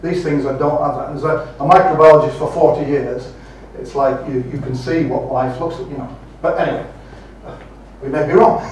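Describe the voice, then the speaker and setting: Speaking at a fairly quick pace with long, frequent pauses, a man with a fairly high pitch and fairly even intonation comes through noticeable background noise and audible room echo. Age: 60s. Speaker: microbiologist, conference speaker. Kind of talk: audience Q&A. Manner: halting, repeats words.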